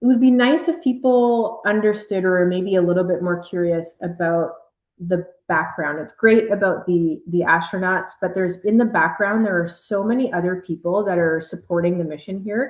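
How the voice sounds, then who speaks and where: A woman at a moderate pace, with a slight Canadian accent. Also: medium pitch for a woman, ordinary pitch variation. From Canada. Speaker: air force officer and mission control communicator. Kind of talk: interview answers.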